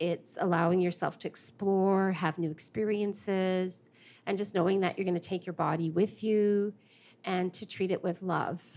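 Against a silent background on a very clean recording, a woman speaks at a moderate pace in a monotone, flat intonation. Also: medium pitch for a woman. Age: 50s. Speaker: mother. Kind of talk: casual chat.

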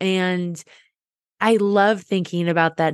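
A woman with an unremarkable speaking voice, fairly low in pitch, fairly even intonation, a dry, close sound with no echo, and a quiet background. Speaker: podcast host. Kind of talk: casual interview chat.

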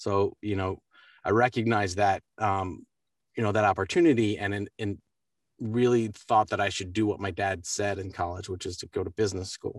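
A man with a fairly low pitch speaks in an American accent at a moderate pace with fairly even intonation. The sound is dry and close with no echo, over a quiet background. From US East Coast, Baltimore. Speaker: voice actor. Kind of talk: interview. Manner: halting.

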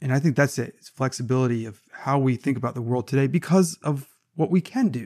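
Very fast and with big swings in loudness, a man speaks at medium pitch in a dark, mellow tone. The sound is dry and close, with no echo. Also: ordinary pitch variation. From US South (Savannah, Georgia). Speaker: management professor, podcast co-host. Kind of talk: casual chat.

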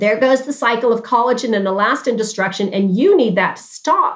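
In a normal speaking voice, a woman with a fairly high pitch talks at a moderate pace with lively intonation. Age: 60s. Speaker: dermatologist. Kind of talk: interview.

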